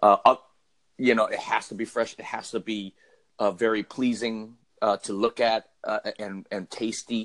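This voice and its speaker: A man speaks at a fairly slow pace in a medium pitch with monotone, flat intonation. The sound is dry and close, with no echo. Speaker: podcaster. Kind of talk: casual chat. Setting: phone call.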